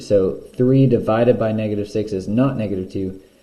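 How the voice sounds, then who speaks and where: A man speaks at a moderate pace with a dark, mellow tone. His voice is somewhat breathy, with fairly even intonation. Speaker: math teacher. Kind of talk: tutorial. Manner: casual.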